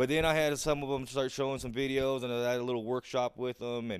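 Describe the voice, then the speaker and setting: The voice sits at a medium pitch. It belongs to a man. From Southern California. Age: 30s. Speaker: guest, former prisoner and community volunteer. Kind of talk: casual chat.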